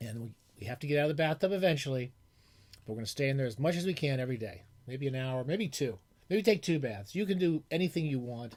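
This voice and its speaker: Mumbled speech races along at a very fast pace with lively intonation, on a very clean recording with a silent background. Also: man. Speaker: retired professor and book podcaster. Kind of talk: casual monologue. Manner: mumbling. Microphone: new microphone.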